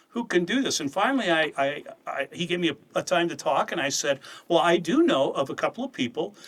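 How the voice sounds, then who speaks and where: Man's high voice, very fast, with very wide pitch swings over noticeable background noise. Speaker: head of an apologetics ministry and Bible teacher. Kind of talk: casual chat.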